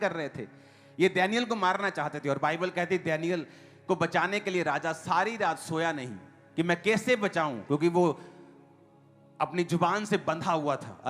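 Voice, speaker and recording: Music plays in the background while a man with a high pitch talks with ordinary pitch variation. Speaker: preacher. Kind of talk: church sermon.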